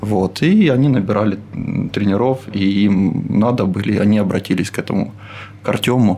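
Through noticeable background noise, a man speaks with very even loudness, ordinary pitch variation, and long, frequent pauses. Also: fairly low pitch for a man, moderate pace. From Ukraine, Dnipro. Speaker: crossfit coach. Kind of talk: casual interview.

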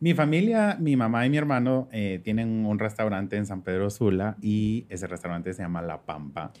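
In an ordinary speaking voice, a man with fairly low pitch talks at a moderate pace with lively intonation and hardly any pauses. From Guatemala, moved to Honduras at 15. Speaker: fashion stylist. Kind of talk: casual chat.

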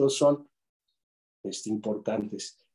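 The speaker is a man with a dark, mellow tone. He moves along at a moderate pace. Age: 50s. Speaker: retired judge, law professor and lawyer. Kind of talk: interview conversation.

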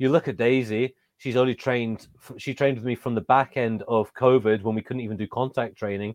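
This man has an English accent. His pitch sits in the medium range. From England. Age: 30s. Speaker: professional wrestler and trainer. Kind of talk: interview.

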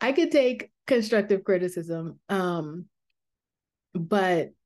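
A woman with an American accent speaks with a fairly low pitch and lively intonation. The background is quiet. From New York. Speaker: podcast host, Reiki practitioner. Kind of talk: casual monologue. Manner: rambling, with fillers.

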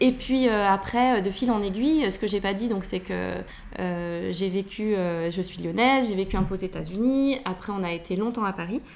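A woman with a normal speaking voice talks at a medium pitch and moderate pace, using ordinary pitch variation. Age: 40s. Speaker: nutritionist. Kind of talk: casual interview. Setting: at her home.

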